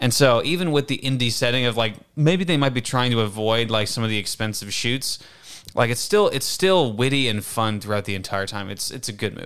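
A man with a plain, everyday voice and medium pitch speaks at a fairly quick pace with ordinary pitch variation. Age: 20s. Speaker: cinematographer. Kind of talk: casual chat.

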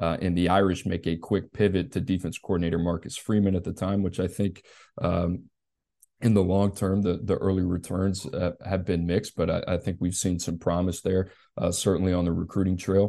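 Against a quiet background, the voice moves at a fairly quick pace in a flat monotone, its tone dark and mellow. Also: man, very deep, low pitch for a man. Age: 30s. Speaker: college football recruiting analyst. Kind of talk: casual podcast chat.

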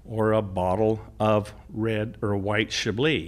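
A man with an American accent and a fairly low pitch. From California, rural Fresno County. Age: 60s. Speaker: farmer and agribusiness owner. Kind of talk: interview.

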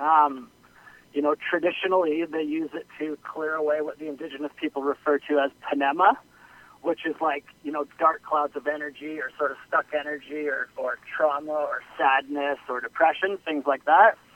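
Flat, monotone speech from a man with a Western Canadian accent, fairly high in pitch, at a moderate pace. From Okanagan, British Columbia, Canada. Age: 30s. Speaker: health and wellness practitioner. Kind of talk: interview. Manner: hesitant, many fillers.

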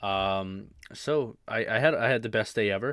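The man's tone is animated. The recording is very clean, with a silent background. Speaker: podcast host. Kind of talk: casual solo podcast monologue. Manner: informal, filler-heavy, animated.

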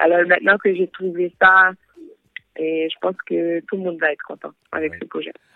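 A woman talks at a moderate pace with fairly even intonation and a fairly low pitch. Her loudness swings widely, and she pauses long and often. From Haitian-American. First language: English or Haitian Creole (speaking French). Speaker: singer and rapper. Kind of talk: interview. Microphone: dropped line.

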